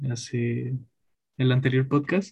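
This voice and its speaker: Fairly even intonation and medium pitch mark a man with an ordinary speaking voice. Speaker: podcast host. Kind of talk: casual chat.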